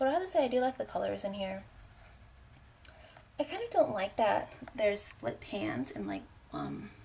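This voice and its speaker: A soft-spoken voice at a moderate pace, with long, frequent pauses. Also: woman. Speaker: beauty vlogger. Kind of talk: product review vlog.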